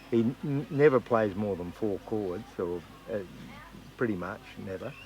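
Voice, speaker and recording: In an Australian accent, a man speaks with a fairly low pitch and lively intonation. His pace is moderate, with long, frequent pauses. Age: 60s. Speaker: country singer-songwriter. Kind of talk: interview. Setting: music festival.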